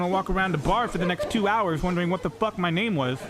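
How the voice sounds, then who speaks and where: A man speaks very fast at a high pitch, with ordinary pitch variation and noticeable background noise behind him. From Florida, US. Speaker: stand-up comedian. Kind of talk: stand-up. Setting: stage with audience.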